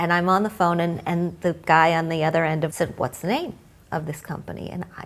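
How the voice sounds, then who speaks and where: At a fairly quick pace, a woman with a plain, everyday voice talks fairly low, her intonation fairly even. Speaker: financial journalist. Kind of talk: interview answer.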